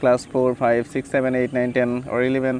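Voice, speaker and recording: This man speaks with a Bengali accent. His pitch is medium. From Bangladesh. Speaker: English tutor vlogger. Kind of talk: casual vlog advice. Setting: outdoors by a river. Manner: halting, many fillers.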